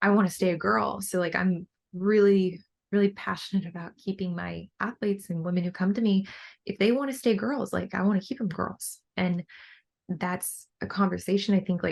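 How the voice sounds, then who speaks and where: Ordinary pitch variation and a moderate pace in a woman's somewhat breathy voice. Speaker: bikini bodybuilder and coach. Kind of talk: podcast interview. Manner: many fillers like 'like' and 'um'.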